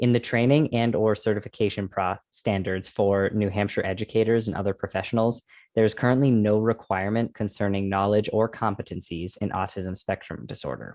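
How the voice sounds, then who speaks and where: With fairly even intonation, a normal speaking voice goes at a fairly quick pace. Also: man, fairly low pitch for a man, quiet background. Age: young. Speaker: podcast co-host. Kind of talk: podcast chat with scripted statistics.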